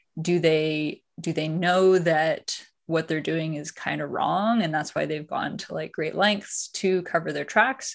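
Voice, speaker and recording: With a Canadian accent and a plain, everyday voice, a woman speaks at a fairly slow pace and fairly low pitch with ordinary pitch variation, hardly pausing at all. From Canada, Ottawa area. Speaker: tech startup founder and CEO. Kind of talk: interview.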